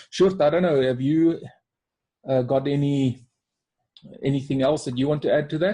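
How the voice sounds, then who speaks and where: At a moderate pace, a man with a South African accent speaks in a dark, mellow tone, fairly high-pitched, somewhat breathy and with fairly even intonation. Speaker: life coach. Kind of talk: webinar presentation.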